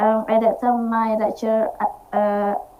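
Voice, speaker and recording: Speaking at a fairly slow pace, a woman with an Indonesian accent keeps a fairly high pitch and a monotone, flat intonation. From Indonesia, Java. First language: Indonesian or Javanese. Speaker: university student, meeting participant. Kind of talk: online conversation practice. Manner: halting, hesitant.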